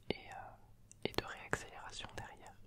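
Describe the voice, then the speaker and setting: Loud background noise runs behind a man speaking at a fairly slow pace. The sound is dry, with no echo. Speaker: YouTuber explaining a motorsport activity. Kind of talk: casual vlog chat. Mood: enthusiastic, relaxed. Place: home room. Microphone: handheld.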